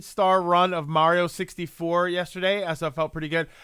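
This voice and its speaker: A man speaks at a moderate pace in a raised, projected, high voice with a bright, sharp tone on a very clean recording with a silent background. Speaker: live streamer. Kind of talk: casual chat. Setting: live stream. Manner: halting, many fillers and repeats.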